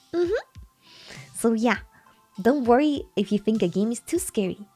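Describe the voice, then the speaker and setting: A woman with a fairly high pitch speaks with lively intonation while music plays in the background. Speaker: horror vtuber and ASMR artist. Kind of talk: casual talk to camera, vtuber debut stream. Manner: chatty, repeats phrases.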